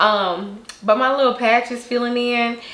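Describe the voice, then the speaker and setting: A woman talks fairly slowly, with noticeable noise behind her and audible echo in the room. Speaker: beauty vlogger. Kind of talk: casual product review to camera. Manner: animated.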